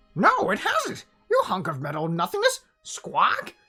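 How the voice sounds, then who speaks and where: Faint background music behind a put-on character voice at a moderate pace. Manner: squawking; loud.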